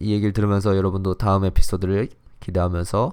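The speaker has an animated tone and a fairly quick pace. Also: man. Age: 20s. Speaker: podcast host. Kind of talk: casual solo chat. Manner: animated, laughing often.

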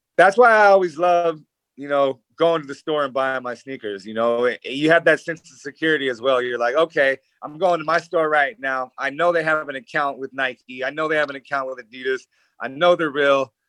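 A fairly quick American-accented man's voice with ordinary pitch variation and big swings in loudness, dry and close with no echo. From US West Coast. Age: 30s. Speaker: reality TV personality. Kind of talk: casual chat. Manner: halting.

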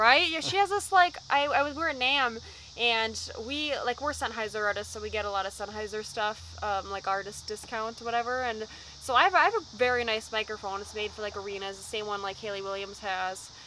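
Ordinary pitch variation marks speech delivered at a fairly quick pace. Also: woman, fairly high pitch for a woman. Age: 20s. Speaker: rock band vocalist. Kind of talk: casual interview. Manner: animated.

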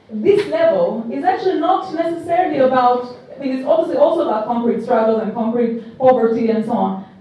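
A woman's voice at a moderate pace, with very wide pitch swings, audible room echo and noticeable background noise. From Albania. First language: Albanian. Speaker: political theory professor. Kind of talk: panel discussion.

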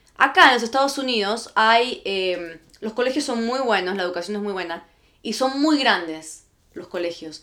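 Her voice is bright and sharp, with a fairly high pitch, lively intonation and big swings in loudness, as this woman talks at a moderate pace. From Argentina and Guatemala. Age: 20s. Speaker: podcast host. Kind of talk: casual chat.

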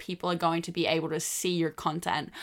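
With an Australian accent, a woman talks at a fairly quick pace in a bright, sharp tone, in a very clean recording with a silent background. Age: 20s. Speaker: social media creator. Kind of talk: podcast monologue.

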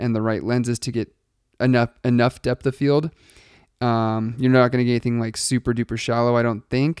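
A man's fairly quick, monotone voice with flat intonation, dry and close with no echo, on a very clean recording over a silent background. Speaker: podcast host and wedding filmmaker. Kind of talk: solo podcast monologue. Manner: fast; casual with many fillers.

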